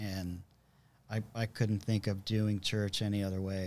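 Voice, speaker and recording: He is a man speaking at a fairly low pitch in an American accent. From Southern California. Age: 50s. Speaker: church musician, guitarist. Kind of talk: casual chat, testimony. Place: studio. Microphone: studio mic.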